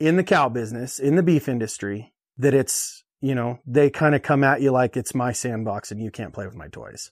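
A man's unremarkable speaking voice with an American accent, medium in pitch, with ordinary pitch variation and big swings in loudness. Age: 30s. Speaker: rancher. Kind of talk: interview.

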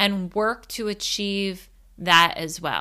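On a very clean recording with a silent background, a woman's bright, sharp voice comes across with an animated tone. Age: 30s. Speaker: podcast host and life coach. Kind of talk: casual monologue.

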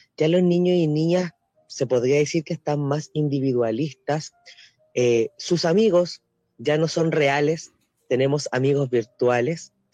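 A man's fairly high voice at a fairly slow pace, with ordinary pitch variation and very even loudness, dry and close with no echo, music in the background. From Chile. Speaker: teacher. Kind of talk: radio panel discussion.

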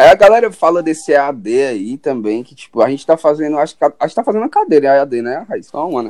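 With hardly any pauses, a man with a fairly high voice races along at a very fast pace, using lively intonation and big swings in loudness, in a dry, close sound with no echo. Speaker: podcast host, journalism student. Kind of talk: casual chat.

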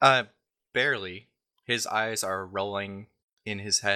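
The background stays quiet. The speaker uses an unforced reading voice.

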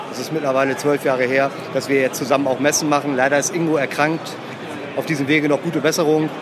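Over noticeable background noise and audible room echo, a man talks very fast in a flat, monotone way at a fairly high pitch. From Emsland, northwest Germany. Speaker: fishing lure company owner. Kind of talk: trade fair interview. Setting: trade fair.

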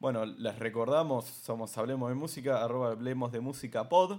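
A man talks fairly quickly in an ordinary speaking voice. His pitch is medium, with ordinary pitch variation. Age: 20s. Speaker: podcast co-host and DJ. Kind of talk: casual chat.

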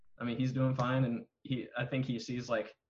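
A man talks at medium pitch with an American accent. His delivery is moderately paced and somewhat breathy. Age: 20s. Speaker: real estate agent. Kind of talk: casual chat.

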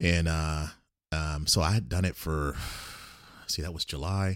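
In a very clean recording with a silent background and a dry, close sound with no echo, a man speaks at a fairly slow pace with ordinary pitch variation. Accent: American. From military childhood, North Carolina, Germany, Mississippi Gulf Coast. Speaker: author and radio DJ. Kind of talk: casual chat.

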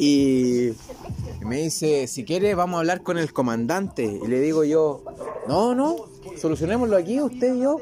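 A man talks at a moderate pace with a fairly high pitch. His pitch swings very widely over noticeable background noise. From Chile. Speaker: agronomist and lab manager. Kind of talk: casual chat.

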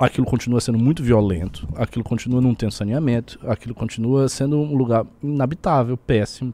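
Using a dark, mellow tone, a man talks at a fairly quick pace with ordinary pitch variation. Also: medium pitch for a man. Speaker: political commentator. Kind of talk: casual political chat. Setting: live stream.

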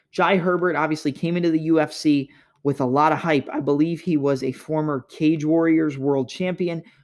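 Here is an ordinary speaking voice: a man with a fairly high pitch and ordinary pitch variation. He talks at a moderate pace against a quiet background. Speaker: podcast host. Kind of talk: MMA fight preview and analysis monologue.

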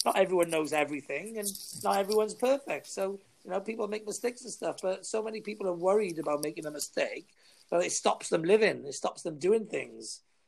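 Talking at a very fast pace, a man with a Welsh accent has a high voice. His pitch varies in an ordinary way. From Wales. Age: 40s. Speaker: new podcaster and marketer. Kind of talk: casual chat. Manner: confident, self-promoting.

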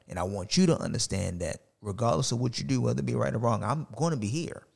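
Vocal fry creaks through this man's voice. His pitch rises and drops over a very wide range. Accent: American. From US, Baltimore. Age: 30s. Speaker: podcaster. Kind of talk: casual chat.

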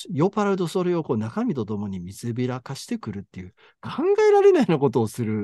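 With a Kansai accent, a man talks very fast at a medium pitch, his voice swinging very widely in pitch. His tone is dark and mellow, the sound dry and close with no echo, over a quiet background. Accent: Kansai Japanese. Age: 50s. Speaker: podcast co-host discussing translated fiction. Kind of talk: casual chat.

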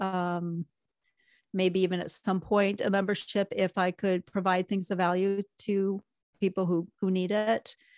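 Delivered at a fairly slow pace, the speech comes through as a very clean recording with a silent background and a dry, close sound with no echo. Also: woman. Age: 50s. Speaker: graphic design and marketing studio owner. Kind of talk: coaching call conversation. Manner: halting.

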